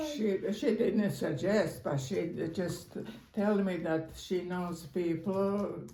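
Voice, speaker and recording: A woman speaks very slowly with a Croatian accent. Her medium pitch shows ordinary variation. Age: 80s+. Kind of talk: interview answer. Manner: hesitant, halting.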